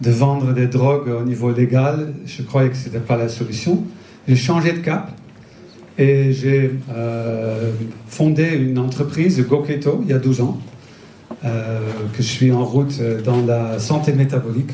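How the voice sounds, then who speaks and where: A man with a Dutch accent, medium pitch and fairly even intonation, at a fairly slow pace with long, frequent pauses and audible room echo. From Netherlands. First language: Dutch (speaking French). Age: 50s. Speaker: nutrition entrepreneur and speaker. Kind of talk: public talk. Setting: festival stage with audience. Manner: halting, many hesitations.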